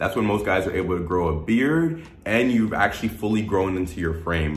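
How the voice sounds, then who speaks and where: Faint music plays in the background as a man speaks at a moderate pace with audible room echo. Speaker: dating advice vlogger. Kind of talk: casual vlog chat. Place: home room.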